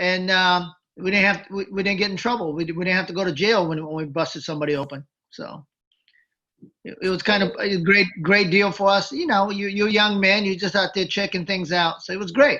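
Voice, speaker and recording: Raising and projecting his voice, a man speaks at a fairly quick pace with a bright, sharp tone, a high pitch and ordinary pitch variation. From Japan, Tokyo. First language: Japanese. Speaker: former wrestling manager. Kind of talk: interview. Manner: halting.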